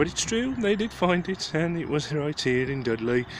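Light background noise sits under a man speaking at a moderate pace, the sound dry with no echo. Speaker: local history vlogger. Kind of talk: casual history commentary. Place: street. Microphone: phone near.

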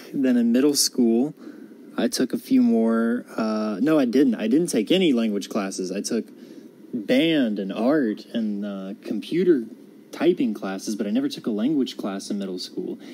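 Speaking at a moderate pace with an American accent, a man uses a medium pitch and ordinary pitch variation. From US South (North Carolina). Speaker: college student. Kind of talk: personal monologue for class assignment. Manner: halting, many fillers.

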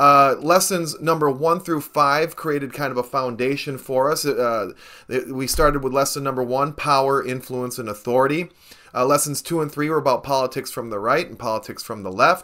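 Bright and sharp in tone, a man's voice moves at a moderate pace over a quiet background. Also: ordinary pitch variation. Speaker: political science video blogger. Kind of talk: lecture. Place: home room.

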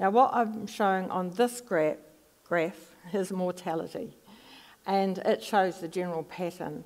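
A woman with a New Zealand accent, at a fairly slow pace and with ordinary pitch variation. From New Zealand, Palmerston North. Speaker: psychology professor. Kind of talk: lecture; audience Q&A. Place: stage.

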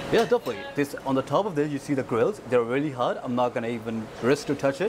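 Background noise is noticeable throughout. A man speaks very fast over it. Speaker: restaurant staff guide. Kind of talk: tour guide commentary. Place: hall. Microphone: lapel.

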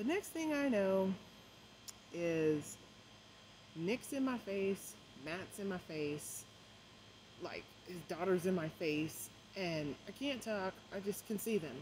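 Amid light background noise, a woman speaks very slowly, leaving long, frequent pauses. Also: lively intonation. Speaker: vlogger. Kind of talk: casual vlog storytelling. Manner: halting with many fillers; trying not to talk loud. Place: garden. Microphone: phone near.

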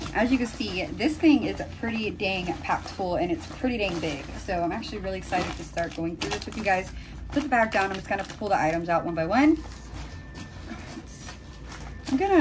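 A woman's pitch swings very widely as she talks over noticeable background noise. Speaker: beauty vlogger. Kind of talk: casual vlog chat. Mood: excited, cheerful. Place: home room. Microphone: phone near.

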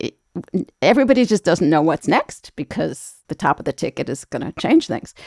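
A woman at fairly low pitch with very wide pitch swings and a fairly quick pace, in a dry, close sound with no echo. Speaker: health reporter. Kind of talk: news panel discussion. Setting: video call.

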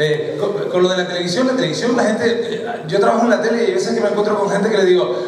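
A man talks at a fairly quick pace. Noticeable background noise and audible room echo are present. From Canary Islands. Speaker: stand-up comedian. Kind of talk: stand-up comedy monologue. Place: stage.

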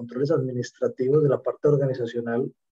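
In a dry, close recording with no echo, a man speaks at medium pitch in a somewhat breathy voice with a dark, mellow tone. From Colombia, Medellín. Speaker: safety professional. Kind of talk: question in online class. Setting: video call.

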